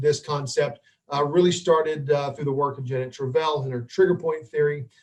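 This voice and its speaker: The speaker's voice is somewhat breathy, and the intonation stays fairly even. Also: man. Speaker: physical therapist and dry needling instructor. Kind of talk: webinar lecture. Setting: live online webinar. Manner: hesitant, many fillers.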